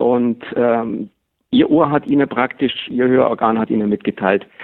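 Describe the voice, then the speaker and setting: The delivery is fairly slow, with ordinary pitch variation. It is an unremarkable speaking voice. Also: man. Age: 50s. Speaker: master hearing aid acoustician. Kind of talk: expert interview. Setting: phone call.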